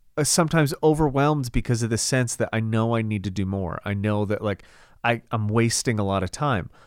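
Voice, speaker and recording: A man at medium pitch with a fairly quick pace, an animated tone and ordinary pitch variation, on a very clean recording with a silent background. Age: 30s. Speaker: podcast co-host, fitness business owner. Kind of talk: casual chat.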